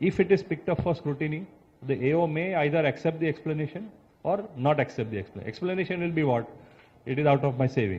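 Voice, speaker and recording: A man with an Indian accent talks at a very fast pace in a fairly high pitch. His intonation is lively, with vocal fry. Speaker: chartered accountant. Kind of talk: expert talk. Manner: explanatory, with filler words.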